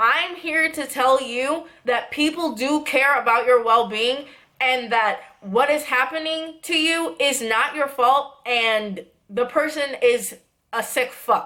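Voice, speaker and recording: Speaking very slowly in a raised, projected voice, a woman keeps a high pitch with ordinary pitch variation. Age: 20s. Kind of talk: casual talk to camera. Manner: serious, earnest.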